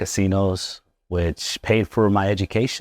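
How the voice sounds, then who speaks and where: A man speaks with fairly even intonation. The sound is dry and close with no echo, in a very clean recording with a silent background. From Las Vegas, Nevada, Mexican-American family. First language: Spanish. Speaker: chiropractor. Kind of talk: interview. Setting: chiropractic office, live.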